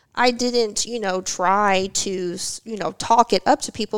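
A woman speaks at a medium pitch in an ordinary speaking voice, with ordinary pitch variation. The sound is dry and close, with no echo. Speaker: martial artist and graduate student. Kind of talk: casual podcast interview.

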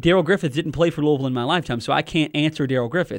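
At a fairly high pitch with ordinary pitch variation, a man talks in an unremarkable speaking voice. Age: 20s. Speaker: sports radio host. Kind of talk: sports talk radio.

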